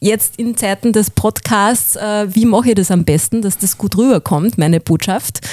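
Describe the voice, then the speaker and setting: Dry and close with no echo, a woman's voice carries a dark, mellow tone. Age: 40s. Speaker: voice-over artist and former radio presenter. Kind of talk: interview.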